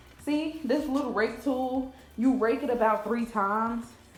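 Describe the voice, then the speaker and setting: Music plays behind a woman whose voice carries audible room echo. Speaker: lifestyle vlogger. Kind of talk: casual vlog talk. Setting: at home. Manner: fast.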